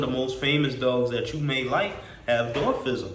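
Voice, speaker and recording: A man's medium-pitched voice with fairly even intonation, amid noticeable background noise and audible room echo. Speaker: dog breeder and vlogger. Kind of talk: casual vlog monologue. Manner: halting, with repetitions and fillers.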